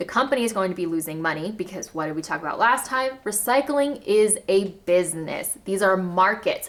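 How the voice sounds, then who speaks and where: A woman with an American accent talks at a moderate pace in an animated tone. Her intonation is lively. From US South, Arkansas. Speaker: zero waste lifestyle vlogger. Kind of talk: casual educational vlog.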